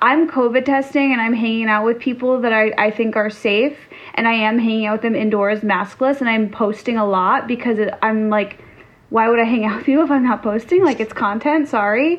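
A woman's unremarkable speaking voice, fairly quick, with ordinary pitch variation and very even loudness. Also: fairly high pitch for a woman. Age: 30s. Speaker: podcast co-host. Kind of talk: casual chat.

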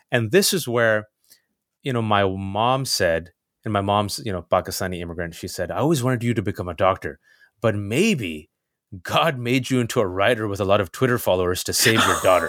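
A plain, everyday voice from a man at medium pitch, fairly quick pace and ordinary pitch variation, on a very clean recording with a silent background. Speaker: journalist and commentator. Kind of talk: casual interview.

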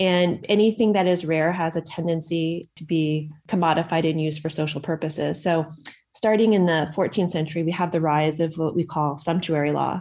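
With a normal speaking voice, a woman talks at a fairly quick pace, fairly low in pitch and with fairly even intonation. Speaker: medievalist. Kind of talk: answering a listener question.

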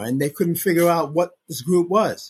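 A man's somewhat breathy voice in a New York accent, with ordinary pitch variation. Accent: New York American. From US Northeast, Brooklyn New York. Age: 70s. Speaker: music journalist and record executive. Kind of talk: casual interview chat. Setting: video call.

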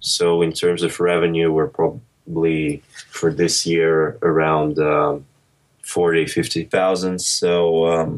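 At a very slow pace, a man speaks in a very deep, low pitch. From Monaco, born in Russia. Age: 20s. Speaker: entrepreneur and university student. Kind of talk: interview.

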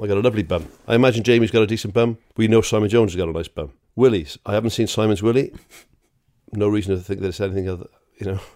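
Speaking at a very fast pace, a man with a fairly low pitch, ordinary pitch variation and a dark, mellow tone comes through on a very clean recording with a silent background. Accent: Welsh. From Wales. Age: 40s. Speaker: podcast co-host. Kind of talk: casual chat.

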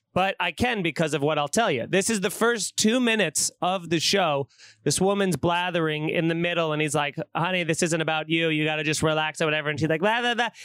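With hardly any pauses, a man with an American accent speaks at a high pitch and very even loudness, the sound dry and close with no echo in a very clean recording with a silent background. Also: ordinary pitch variation. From New York. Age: 30s. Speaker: comedian. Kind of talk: casual chat.

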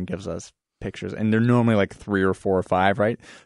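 In a dry, close recording with no echo and a quiet background, a man talks in an ordinary speaking voice, fairly low in pitch with ordinary pitch variation. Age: 20s. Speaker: basement waterproofing business owner. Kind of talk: radio interview.

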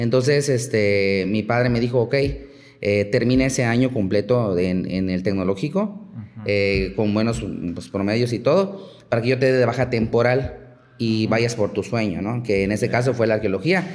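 This man keeps a moderate pace, a medium pitch and ordinary pitch variation. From Mexico, Chiapas. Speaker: archaeologist. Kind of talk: interview conversation. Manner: halting, many fillers.

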